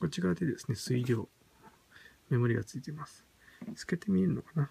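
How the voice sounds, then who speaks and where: At a very fast pace, a man talks in a medium pitch with very wide pitch swings. His voice is somewhat breathy, with a dark, mellow tone. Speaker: product reviewer. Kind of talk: product unboxing review. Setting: home at night. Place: home room. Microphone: phone near.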